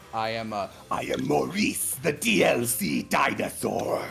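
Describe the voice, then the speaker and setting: The voice moves through very wide pitch swings while music plays in the background. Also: man. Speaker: voice actor; podcast guest.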